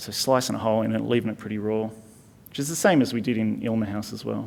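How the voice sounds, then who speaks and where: A man's fairly low voice with an Australian accent, very fast and fairly even in intonation, with audible room echo. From Tasmania, Launceston. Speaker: architect. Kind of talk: conference lecture. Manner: casual, hesitant with fillers.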